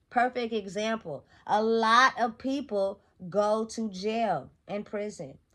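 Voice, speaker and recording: A woman's fairly high, bright, sharp voice at a very slow pace with ordinary pitch variation against a quiet background. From Sacramento, California; California. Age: 30s. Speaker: motivational vlogger. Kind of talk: motivational monologue. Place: home room. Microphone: phone near.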